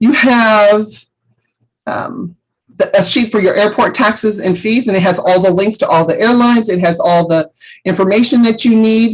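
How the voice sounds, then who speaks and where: Fairly high in pitch, a woman's somewhat breathy voice with ordinary pitch variation and a moderate pace. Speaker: travel agent trainer. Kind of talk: tutorial.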